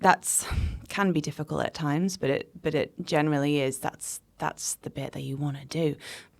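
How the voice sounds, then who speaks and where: A woman with a Manchester accent has a very deep, low pitch and ordinary pitch variation. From Manchester, England. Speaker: cabaret artist and poet. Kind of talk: interview conversation.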